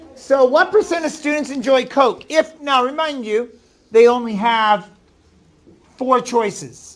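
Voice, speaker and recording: Speaking at a fairly slow pace with a New England accent, a man uses an extremely high pitch and ordinary pitch variation. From Maine, New England. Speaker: middle school math teacher. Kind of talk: classroom lesson. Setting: classroom.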